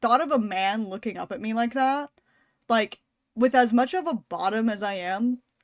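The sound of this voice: An unforced reading voice with ordinary pitch variation and a quiet background.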